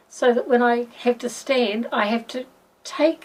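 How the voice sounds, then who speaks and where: A woman with a New Zealand accent speaks at a very slow pace. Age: 60s. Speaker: patient. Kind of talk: testimony. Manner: halting.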